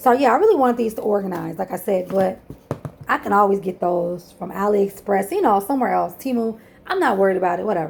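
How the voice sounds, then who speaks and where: With an animated tone, a woman talks at a very fast pace, her medium pitch showing ordinary variation. Noticeable background noise sits behind her. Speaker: penny shopping YouTuber. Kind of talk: casual haul video chat. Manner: rambling, animated; fast when irritated.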